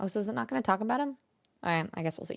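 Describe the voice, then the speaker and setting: A woman talks in an animated tone. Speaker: streamer reacting to video. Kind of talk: casual reaction commentary. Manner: fast.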